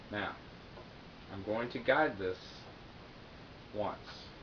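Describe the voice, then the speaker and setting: A man speaks in a room with audible echo. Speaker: guitar teacher. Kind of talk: tutorial. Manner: casual.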